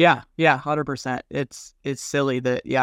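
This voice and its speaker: In an ordinary speaking voice with an American accent, a man talks at a fairly quick pace and medium pitch with fairly even intonation. The sound is dry and close with no echo, over a quiet background. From Colorado. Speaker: pharmacy owner. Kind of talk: casual interview.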